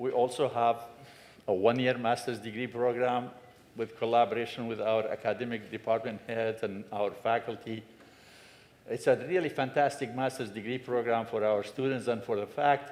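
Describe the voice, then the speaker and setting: At a moderate pace, a man speaks in a medium pitch with fairly even intonation. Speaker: director of an education and training center. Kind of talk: symposium welcome address. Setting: symposium room with audience and microphone. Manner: loud.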